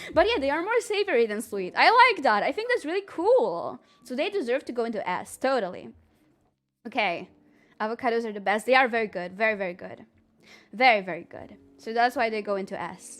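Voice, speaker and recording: The speaker has an animated tone, moving at a fairly quick pace with very wide pitch swings and big swings in loudness. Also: woman, fairly high pitch for a woman. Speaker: streamer. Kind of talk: casual chat. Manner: fast.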